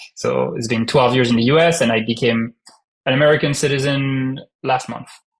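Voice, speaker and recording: A man with a strong French accent talks at a fairly quick pace and a medium pitch. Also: fairly even intonation. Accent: heavy French. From France. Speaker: startup founder. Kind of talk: podcast interview.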